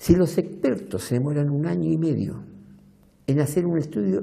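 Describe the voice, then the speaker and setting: With a dark, mellow tone and a somewhat breathy quality, a man speaks at a fairly slow pace in very wide pitch swings, with audible room echo. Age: 70s. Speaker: documentary interviewee. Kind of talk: interview.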